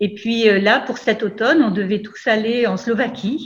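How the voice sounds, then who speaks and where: A woman speaks in a fairly high, somewhat breathy voice. Her pace is fairly slow, and her pitch varies in an ordinary way. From France, Brittany. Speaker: university lecturer, project coordinator. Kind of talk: online event presentation. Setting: video call. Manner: hesitant, many fillers.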